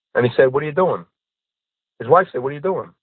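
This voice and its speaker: A man speaks in a fairly high pitch. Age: 60s. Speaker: podcast guest. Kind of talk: casual chat. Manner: animated.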